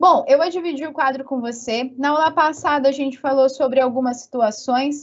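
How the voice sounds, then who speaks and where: At a moderate pace and with hardly any pauses, a woman speaks in a high pitch with fairly even intonation. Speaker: physics teacher. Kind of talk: online lecture. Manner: chatty, informal.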